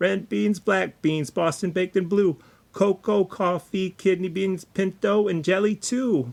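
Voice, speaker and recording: This put-on character voice sits at a middle pitch. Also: moderate pace. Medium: read story. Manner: casual, chatty.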